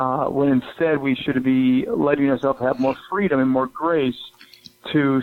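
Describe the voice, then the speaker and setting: Through noticeable background noise, a man speaks at a moderate pace and fairly high pitch, with fairly even intonation. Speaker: broadcaster and public speaker. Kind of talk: interview. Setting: radio studio. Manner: halting, many fillers.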